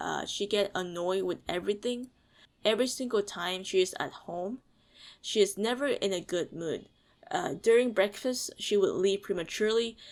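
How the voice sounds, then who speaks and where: A woman speaks at a medium pitch and a moderate pace with ordinary pitch variation, on a very clean recording with a silent background. She has a plain, everyday voice. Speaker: video reviewer. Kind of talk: video review commentary. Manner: many fillers like uh and um.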